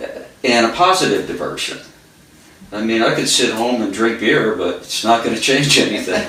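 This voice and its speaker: Heard with audible room echo and noticeable background noise, a man speaks in a medium pitch at a moderate pace with ordinary pitch variation. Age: 60s. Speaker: carpenter. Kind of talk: interview. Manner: halting.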